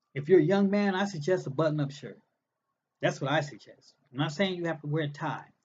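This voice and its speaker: A man with an unremarkable speaking voice talks at a fairly quick pace. His pitch is fairly high, with ordinary pitch variation. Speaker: recovery group speaker. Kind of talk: information session.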